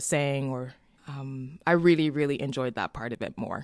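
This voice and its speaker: A woman speaks at a moderate pace with a very deep, low pitch and fairly even intonation. The recording is very clean, with a silent background. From Montreal, Quebec. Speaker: opera singer and music educator. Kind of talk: casual chat.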